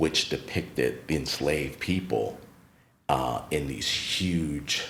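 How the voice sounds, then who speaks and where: Speaking very slowly with an American accent, a man has a very deep, low pitch with vocal fry and ordinary pitch variation. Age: 50s. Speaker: retired teacher and art space founder. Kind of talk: podcast interview.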